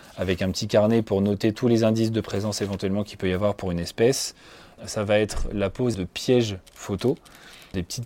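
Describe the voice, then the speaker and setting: Over a silent background in a very clean recording, a man with a dark, mellow tone and fairly low pitch speaks at a fairly quick pace with fairly even intonation. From France, Loiret. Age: 20s. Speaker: nature photographer and environmental educator. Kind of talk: personal testimony. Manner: hesitant, many fillers.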